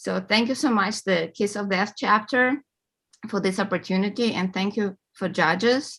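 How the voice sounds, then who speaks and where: A woman with a Russian accent, medium pitch and ordinary pitch variation, at a moderate pace against a quiet background. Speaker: award-winning author. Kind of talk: acceptance speech.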